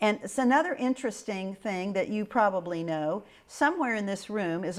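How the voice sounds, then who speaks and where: A woman speaks with a Midwestern US accent at a medium pitch, with ordinary pitch variation. The recording is very clean, with a silent background. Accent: US Midwest. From Kansas. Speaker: local historian. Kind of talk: oral history interview. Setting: historic house.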